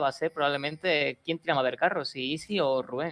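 A woman with a very deep, low pitch. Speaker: esports caster, analyst. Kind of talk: live esports commentary, analytical color. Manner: measured, conversational.

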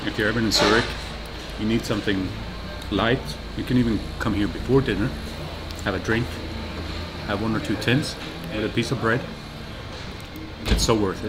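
A man speaks at a fairly quick pace with clear music in the background. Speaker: travel vlogger. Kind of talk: casual vlog chat. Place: bar. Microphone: lapel.

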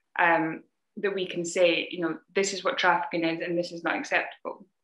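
In a slight Scottish accent, a woman talks at a fairly quick pace with fairly even intonation and a bright, sharp tone. Audible room echo is present over a quiet background. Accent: mild Scottish. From Scotland. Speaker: anti-human-trafficking charity founder and security specialist. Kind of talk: interview. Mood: earnest, serious topic. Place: home room. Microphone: video call.

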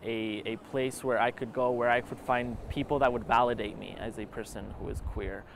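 A man talks at a moderate pace with medium pitch and fairly even intonation, the sound dry with no echo and light background noise. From Utah, US (immigrated from Argentina at seven). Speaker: documentary interviewee, student filmmaker; interviewee. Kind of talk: personal testimony. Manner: halting, with repetitions. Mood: reflective, earnest. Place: garden.

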